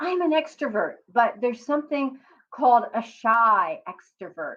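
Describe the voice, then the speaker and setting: With lively intonation, a woman delivers her words very slowly. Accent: Philadelphia. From US, Philadelphia. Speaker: career coach and psychotherapist. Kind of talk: motivational talk to camera.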